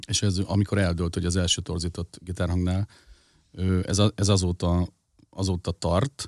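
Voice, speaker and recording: Moderate pace, on a very clean recording with a silent background and a dry, close sound with no echo. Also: man. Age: 40s. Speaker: rock band frontman. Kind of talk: casual chat.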